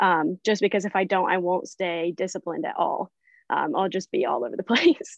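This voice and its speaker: A normal speaking voice from a woman, medium in pitch, with lively intonation and a fairly quick pace, in dry, close sound with no echo. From Missouri (Branson). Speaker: wildlife rehabilitator. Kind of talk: casual chat.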